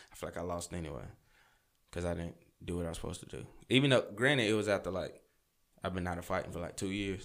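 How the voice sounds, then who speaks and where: The speech runs at a very fast pace, broken by long, frequent pauses. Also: man, very deep, low pitch for a man, ordinary pitch variation. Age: 20s. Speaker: fighter. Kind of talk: casual chat.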